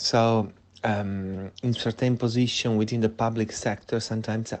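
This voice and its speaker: This is a man with an Italian accent. His pitch varies in an ordinary way. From Italy. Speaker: fashion lecturer. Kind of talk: interview. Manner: hesitant, many fillers.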